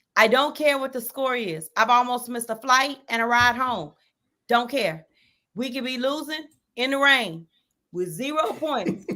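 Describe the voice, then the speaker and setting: A woman talks in a strong Texan accent, high-pitched and animated. Her tone is bright and sharp, and her pace is moderate. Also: lively intonation, very clean recording, silent background. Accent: Texas accent, strong. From Texas. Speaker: sports podcast host. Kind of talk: casual chat.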